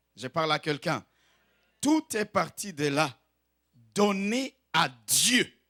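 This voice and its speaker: In a very clean recording with a silent background and a dry, close sound free of echo, a man speaks very slowly at a high pitch, his bright, sharp tone rising and falling in very wide pitch swings. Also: long, frequent pauses, big swings in loudness. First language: not French (speaking French). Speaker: pastor. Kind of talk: sermon. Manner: exhortative, emphatic.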